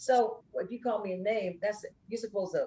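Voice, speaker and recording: A woman's fairly high, somewhat breathy voice at a moderate pace, animated in tone with lively intonation. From Brooklyn, New York (Bed-Stuy). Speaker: singer and social worker, interview guest. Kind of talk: candid interview testimony.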